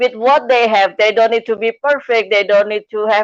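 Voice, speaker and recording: With ordinary pitch variation and a fairly high pitch, the woman talks in a non-native accent. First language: not English. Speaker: live streamer, coach and speaker. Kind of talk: live stream interview.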